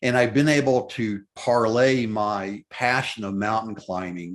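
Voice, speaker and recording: In an unremarkable speaking voice with an American accent, a man talks at a fairly low pitch with ordinary variation over a quiet background. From US South, Memphis, Tennessee. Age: 60s. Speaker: mountaineer. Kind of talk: interview.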